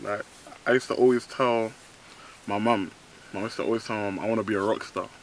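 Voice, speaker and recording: With a London accent, a man speaks at a very fast pace with monotone, flat intonation. His pitch is medium, and he makes long, frequent pauses. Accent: London, multicultural London English. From East London. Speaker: rapper. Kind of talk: casual interview. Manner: hesitant, many ums.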